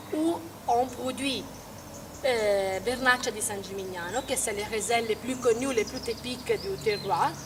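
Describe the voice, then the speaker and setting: A woman with an Italian accent speaks very slowly in a fairly high voice with ordinary pitch variation. Background noise is noticeable. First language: Italian (speaking French). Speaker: winery representative. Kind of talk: interview. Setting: outdoors at a vineyard. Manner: halting, many hesitations.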